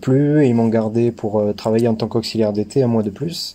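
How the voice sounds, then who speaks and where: In a slight Toulouse accent, a man speaks at medium pitch with a dark, mellow tone and fairly even intonation. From southern France, Toulouse area. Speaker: banking apprentice. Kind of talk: podcast interview. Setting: remote call. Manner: hesitant, many fillers.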